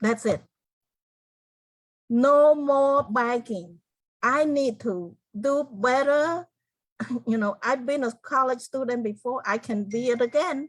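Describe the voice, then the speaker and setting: A speaker with a Cambodian accent talks at a very slow pace, with ordinary pitch variation and long, frequent pauses. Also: woman, high pitch for a woman. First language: Khmer. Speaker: genocide survivor and author. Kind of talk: interview testimony. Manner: halting.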